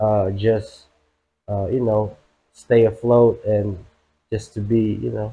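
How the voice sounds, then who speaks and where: A man talks very slowly in a flat monotone, somewhat breathy. He leaves long, frequent pauses. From Philippines. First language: Tagalog. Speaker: rapper. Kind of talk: casual interview. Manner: halting, many fillers.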